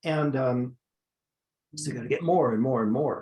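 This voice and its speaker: This man's voice carries vocal fry. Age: 70s. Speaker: esthetician and trainer. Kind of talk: interview on skincare business. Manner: halting, many fillers.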